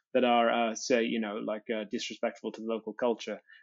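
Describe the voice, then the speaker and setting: This man talks fairly quickly, his voice at a medium pitch. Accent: Welsh. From Wales. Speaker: comedian. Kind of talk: podcast guest interview answer.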